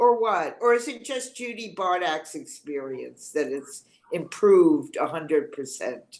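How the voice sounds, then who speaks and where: A woman speaks fairly slowly at a medium pitch with vocal fry and hardly any pauses. Her pitch swings very widely and her loudness varies a lot. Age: 80s+. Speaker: class participant. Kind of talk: casual group discussion.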